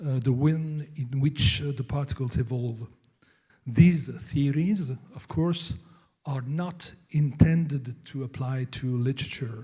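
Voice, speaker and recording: A very slow, somewhat breathy delivery in a French accent, dark and mellow in tone, with ordinary pitch variation. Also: man, fairly high pitch for a man. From France. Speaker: novelist and professor. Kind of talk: conference talk. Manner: halting, many fillers.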